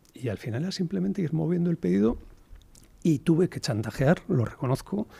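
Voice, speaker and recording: With vocal fry and a dark, mellow tone, a man speaks at a fairly quick pace in a fairly high voice that swings very widely in pitch. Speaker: entrepreneur. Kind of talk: podcast interview. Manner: hesitant, many fillers.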